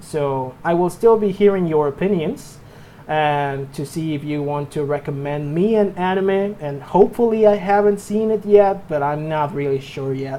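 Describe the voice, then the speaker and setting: A man talks with a Mexican accent in a fairly high voice. His pace is moderate and his pitch variation ordinary. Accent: Mexican Spanish accent, noticeable. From Mexico. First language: Spanish. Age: 20s. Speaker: anime and movie reviewer. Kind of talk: casual channel introduction monologue. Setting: home room. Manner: halting, with repetitions and false starts.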